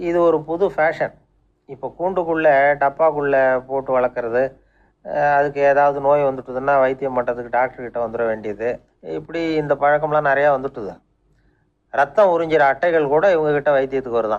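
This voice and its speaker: This man's voice sits fairly high in pitch. Its pitch varies in an ordinary way. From Tamil Nadu. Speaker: radio storyteller. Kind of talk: radio storytelling talk. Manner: conversational, gentle humor.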